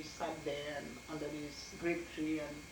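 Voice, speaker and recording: A woman's voice over noticeable background noise. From Dominica. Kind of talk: oral history interview answer.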